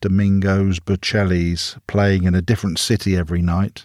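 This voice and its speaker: An unremarkable speaking voice from a man, fairly low in pitch, at a moderate pace, with a dry, close sound, no echo, and a very clean recording against a silent background. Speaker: podcast host. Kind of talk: casual interview.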